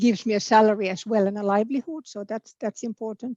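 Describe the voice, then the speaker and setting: In a Finnish accent, a woman speaks fairly quickly with a fairly high pitch, a dark, mellow tone and fairly even intonation, in a dry, close sound with no echo. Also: quiet background. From Finland. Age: 50s. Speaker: political candidate. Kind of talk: interview. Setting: online video event. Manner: hesitant, repeats words.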